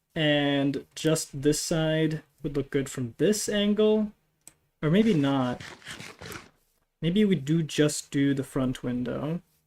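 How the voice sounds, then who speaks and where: Spoken with a non-native accent at a very slow pace, the relaxed voice leaves long, frequent pauses. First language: not English. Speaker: gaming streamer. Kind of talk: casual live stream commentary. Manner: relaxed, chill.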